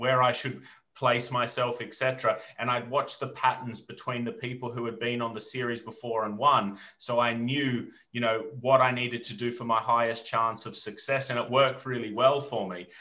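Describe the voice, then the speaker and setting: This man has a medium pitch and a bright, sharp tone with an Australian accent. His intonation is monotone and flat, and his pace is moderate. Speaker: entrepreneur and reality TV winner. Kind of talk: interview. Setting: video call.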